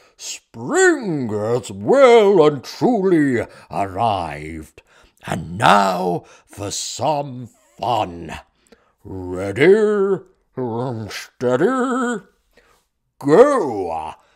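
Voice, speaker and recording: In a booming, put-on character voice of medium pitch, a man speaks very slowly with long, frequent pauses and big swings in loudness. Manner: commanding.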